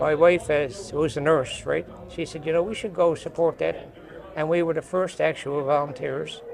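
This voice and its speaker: A man with a Newfoundland accent talks at a moderate pace and fairly high pitch. His intonation is fairly even, with noticeable background noise behind him. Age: 80s+. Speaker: construction industry veteran. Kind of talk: podcast interview. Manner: halting.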